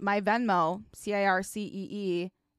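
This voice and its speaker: A woman with a Chicago accent is heard dry and close with no echo in a very clean recording with a silent background. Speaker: podcast co-host. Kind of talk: casual, profane.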